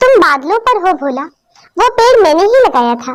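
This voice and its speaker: A cartoonish character voice, female-sounding, at an extremely high pitch with very wide pitch swings and a moderate pace. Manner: gentle, caring.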